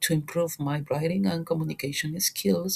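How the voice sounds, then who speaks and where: The speaker talks at a moderate pace in a Spanish accent. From Peru. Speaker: MBA student. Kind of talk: class presentation. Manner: formal; hesitant with fillers.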